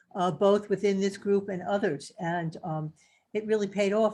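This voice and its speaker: In a New York accent, a woman talks at a moderate pace and medium pitch, with ordinary pitch variation. The background is quiet. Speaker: health coach. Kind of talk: casual testimony. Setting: video call. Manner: halting, many fillers.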